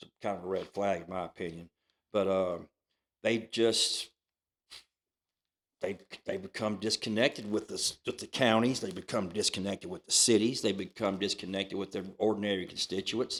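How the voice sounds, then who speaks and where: This man, with an American accent, speaks at a moderate pace and a fairly low pitch, using fairly even intonation and long, frequent pauses. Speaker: county commissioner. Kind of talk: casual interview.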